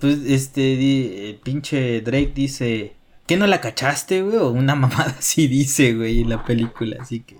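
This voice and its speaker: Fairly slow speech in a Mexican accent. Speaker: video game podcast co-host. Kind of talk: casual chat.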